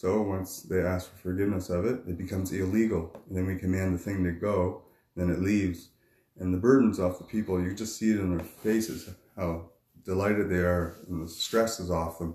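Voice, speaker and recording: Speaking with a Maritime Canadian accent, a man talks at a fairly quick pace in a very deep, low, somewhat breathy voice with a dark, mellow tone and fairly even intonation. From New Brunswick, Canada. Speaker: fisherman and street minister. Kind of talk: testimony.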